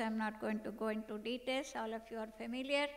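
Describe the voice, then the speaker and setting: A woman speaks with a fairly high pitch. Her intonation is monotone and flat. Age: 60s. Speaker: medical doctor and yoga researcher. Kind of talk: conference keynote lecture.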